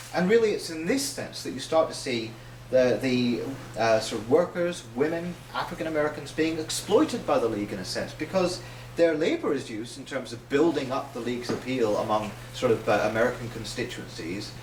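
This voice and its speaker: A man with a Northern Irish accent speaks at a fairly quick pace and medium pitch, with lively intonation. Noticeable background noise is present. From Northern Ireland. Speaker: socialist writer. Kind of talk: public lecture.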